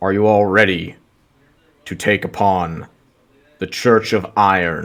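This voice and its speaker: Man's put-on character voice, fairly low-pitched and fairly slow, with fairly even intonation and long, frequent pauses. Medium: actual play.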